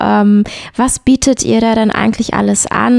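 A woman's fairly high voice with a dark, mellow tone at a fairly slow pace. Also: dry, close sound with no echo. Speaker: podcast host. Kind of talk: interview.

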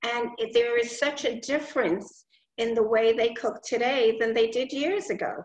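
The pitch moves in an ordinary way, and there is audible room echo. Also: woman. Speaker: class participant; guest. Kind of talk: casual chat. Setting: video call. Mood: warm, reminiscing. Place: home room. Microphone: video call.

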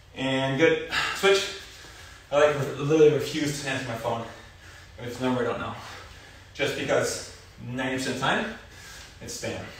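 Amid light background noise and strong room echo, a man talks at a fairly quick pace with ordinary pitch variation and big swings in loudness. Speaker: fitness instructor. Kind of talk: workout instruction and casual chat. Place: garage. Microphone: camera far.

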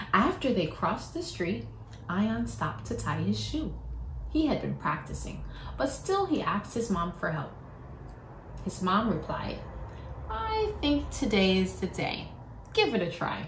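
Pausing long and often, a woman speaks at a fairly slow pace amid light background noise and audible room echo. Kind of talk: storybook read-aloud. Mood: warm, animated, smiling. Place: home room. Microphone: phone near.

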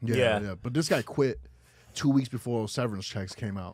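A man with a New York accent talks at a moderate pace, his pitch medium with ordinary variation. The sound is dry with no echo, and the background is quiet. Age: 30s. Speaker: podcast host. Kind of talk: casual street slang. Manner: casual, interrupts others. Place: studio. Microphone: studio mic.

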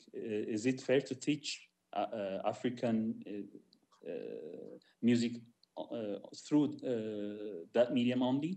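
A dark, mellow tone at a very slow pace, with long, frequent pauses. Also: man, ordinary pitch variation. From Ethiopia. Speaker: jazz musician and music teacher; music teacher. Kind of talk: panel discussion. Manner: halting. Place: home room. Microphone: video call.

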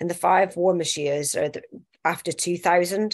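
Against a quiet background, a woman speaks at medium pitch. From northwest England (Accrington, Lancashire). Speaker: consultant anaesthetist. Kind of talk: presentation.

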